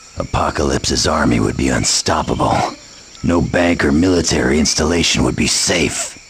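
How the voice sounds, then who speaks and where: Through clear background noise comes a man's cartoonish character voice, very deep and low, delivered at a moderate pace. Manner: gruff, blunt.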